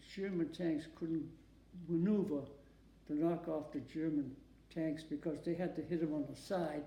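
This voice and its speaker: In an American accent, the speaker delivers a dark, mellow tone with monotone, flat intonation at a fairly slow pace, leaving long, frequent pauses amid audible room echo. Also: man. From Massachusetts. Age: 90s. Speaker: war veteran. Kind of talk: oral history interview. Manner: halting.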